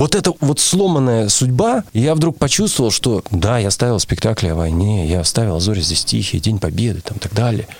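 The speaker's pitch swings very widely at a moderate pace, with hardly any pauses. Noticeable background noise is present. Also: man, medium pitch for a man. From Russia, Urals (Nizhny Tagil). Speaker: theatre artistic director and actor. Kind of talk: interview.

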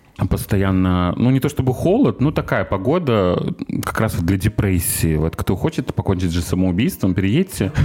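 With lively intonation and very even loudness, a man with a fairly low pitch talks at a moderate pace over noticeable background noise. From Russia, Murmansk. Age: 30s. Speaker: former accountant. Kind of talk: casual chat. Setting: studio.

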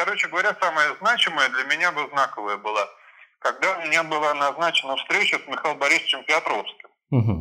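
A man talks very fast in a fairly high, bright, sharp voice with vocal fry. His intonation is lively. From Germany and St Petersburg. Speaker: lawyer. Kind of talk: interview.

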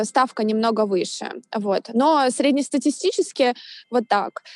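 A woman speaks at a high pitch. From Russia, Saint Petersburg. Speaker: yoga teacher. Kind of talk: casual interview. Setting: video call.

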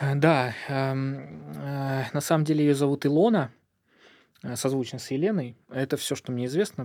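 Here a man speaks in a normal speaking voice at medium pitch. His pitch varies in an ordinary way. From southern Russia, Volzhsky near Volgograd. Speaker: doctor, founder of a charity clinic. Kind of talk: interview. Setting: studio.

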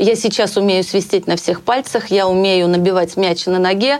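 At a moderate pace, a woman talks in a plain, everyday voice of medium pitch. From Russia, Bryansk. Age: 50s. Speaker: hairstylist. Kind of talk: interview.

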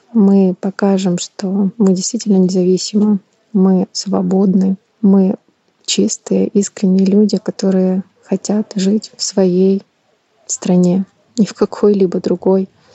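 A woman's somewhat breathy, monotone voice with flat intonation at a very slow pace. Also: medium pitch for a woman. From Ukraine, Kyiv. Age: 30s. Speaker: war refugee. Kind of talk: personal testimony.

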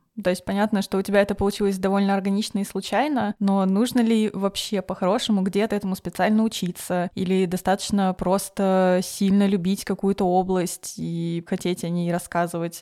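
A woman talks at a moderate pace and medium pitch, with a dark, mellow tone. Her intonation stays flat and monotone in a very clean recording with a silent background. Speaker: podcast host. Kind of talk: casual interview conversation.

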